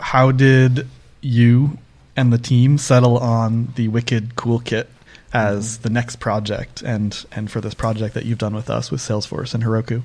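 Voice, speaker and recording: A man with an American accent, medium pitch, monotone and flat intonation, fairly slow pace. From Northeast US. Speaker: podcast host, developer advocate. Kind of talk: casual interview conversation. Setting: remote podcast recording.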